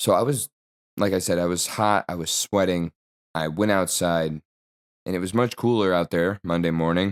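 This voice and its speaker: Very deep and low, a man's voice moves with ordinary pitch variation in a dry, close sound with no echo, on a very clean recording with a silent background. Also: moderate pace. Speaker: podcast host. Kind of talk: casual monologue. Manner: halting, many fillers.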